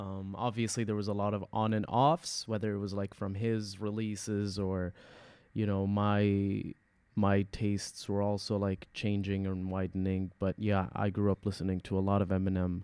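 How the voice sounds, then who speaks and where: Over a quiet background, a man with an Arabic accent talks at a moderate pace in a fairly low pitch. His tone is dark and mellow, his intonation monotone and flat. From UAE. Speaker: experimental hip-hop artist. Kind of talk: casual interview.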